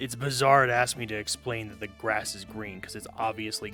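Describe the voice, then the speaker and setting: A man talks at a fairly quick pace with monotone, flat intonation. Music plays in the background. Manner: monotone, flat delivery; sounds unsure, statements rise like questions.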